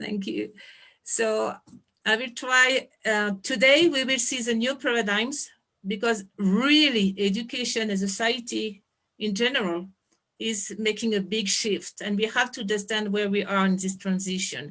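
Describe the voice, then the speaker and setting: A woman with a French accent speaks at a fairly slow pace, her pitch fairly high. Her tone is bright and sharp, with ordinary pitch variation. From France. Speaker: anthropologist and education founder. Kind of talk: presentation on video call. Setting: video call.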